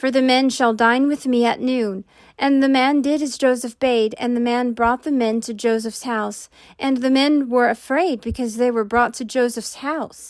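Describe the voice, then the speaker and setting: The pace is moderate. The intonation is fairly even. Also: woman, high pitch for a woman, very clean recording, silent background. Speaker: amateur Bible narrator. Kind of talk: scripture reading.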